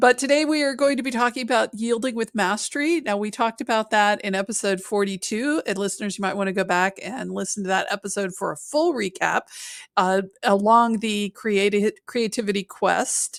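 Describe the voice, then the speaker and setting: In a very clean recording with a silent background and a dry, close sound with no echo, a woman uses a plain, everyday voice at a fairly high pitch with ordinary pitch variation, moving at a fairly quick pace with hardly any pauses. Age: middle-aged. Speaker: podcast co-host. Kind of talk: casual chat.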